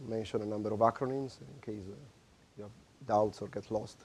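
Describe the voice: Dark and mellow in tone, a man talks at a fairly low pitch. His intonation is fairly even.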